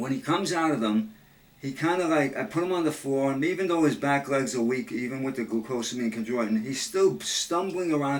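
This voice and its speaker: A man with a plain, everyday voice and a fairly high pitch talks at a fairly quick pace with lively intonation. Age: 60s. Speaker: dog owner talking with an old friend. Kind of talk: casual phone chat.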